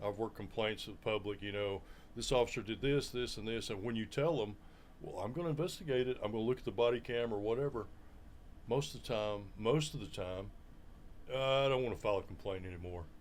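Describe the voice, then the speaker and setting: In an Alabama accent, a man talks at a very fast pace and a medium pitch. His pitch varies in an ordinary way. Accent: US South, Alabama. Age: 50s. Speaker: law enforcement veteran, sheriff candidate. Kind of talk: interview.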